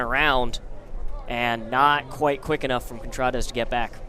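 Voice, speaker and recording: Amid noticeable background noise, a man talks at a moderate pace with ordinary pitch variation. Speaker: baseball play-by-play announcer. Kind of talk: television baseball play-by-play broadcast.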